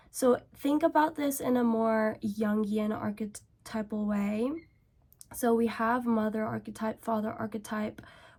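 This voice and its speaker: A woman with a fairly high pitch and a somewhat breathy voice, monotone and flat, at a fairly slow pace. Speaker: beauty and self-help vlogger. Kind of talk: casual get-ready-with-me rant.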